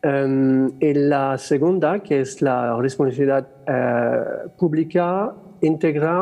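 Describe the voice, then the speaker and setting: Here a man speaks with a French accent. His pitch is fairly high, with ordinary pitch variation. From France. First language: French (speaking Spanish). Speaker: theatre director. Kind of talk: panel discussion. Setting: stage with audience. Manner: halting, many fillers.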